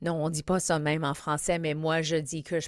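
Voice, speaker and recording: A woman speaks in a very deep, low pitch with monotone, flat intonation. The recording is very clean, with a silent background. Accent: English. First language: English (speaking French). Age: 50s. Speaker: comedian and podcast host. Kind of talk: podcast intro monologue. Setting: studio. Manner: halting, code-switching with English fillers.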